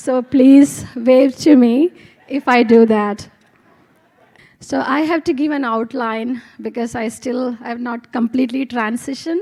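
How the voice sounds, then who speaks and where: A soft-spoken woman with an Indian accent, high pitch, ordinary pitch variation, and a fairly slow pace. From India, Kerala. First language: Malayalam. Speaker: physics professor. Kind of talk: testimony. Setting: stage with audience.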